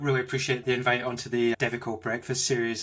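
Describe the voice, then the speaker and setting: In a Scottish accent, a man talks at a medium pitch with a bright, sharp tone. He sounds enthusiastic. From Scotland, Glasgow. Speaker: tech executive. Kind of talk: interview. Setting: home office, video call.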